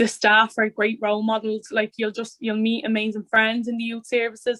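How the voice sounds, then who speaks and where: A woman with a Dublin accent at a moderate pace, fairly high in pitch, her intonation monotone and flat. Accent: Dublin inner-city Irish. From Ireland, Dublin north inner city. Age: 20s. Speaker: youth and community worker. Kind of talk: interview monologue.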